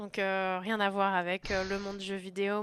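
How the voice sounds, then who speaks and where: Speaking at a fairly slow pace, a woman has a medium pitch and a bright, sharp tone. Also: very clean recording, silent background. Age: 20s. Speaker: video game industry worker. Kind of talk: interview. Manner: hesitant with many fillers.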